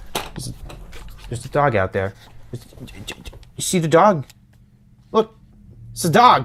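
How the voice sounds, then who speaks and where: In a fairly high pitch, a man speaks at a fairly slow pace with long, frequent pauses, very wide pitch swings and big swings in loudness. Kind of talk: unscripted video essay commentary. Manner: stuttering.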